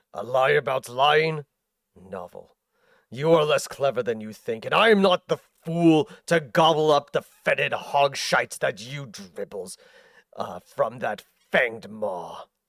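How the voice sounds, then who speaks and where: Shouting in a put-on character voice, a man speaks at a fairly slow pace and a fairly high pitch on a very clean recording with a silent background. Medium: virtual streamer. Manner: angry, rising to shouts.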